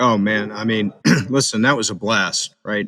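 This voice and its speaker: Recorded with a dry, close sound and no echo, a man with an American accent and a fairly low pitch speaks in a normal speaking voice at a moderate pace. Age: 60s. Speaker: combatives instructor, former Marine. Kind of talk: casual interview chat.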